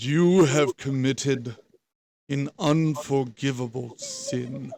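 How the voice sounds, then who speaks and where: A booming, put-on character voice from a man at medium pitch and a very slow pace. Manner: ominous, accusing.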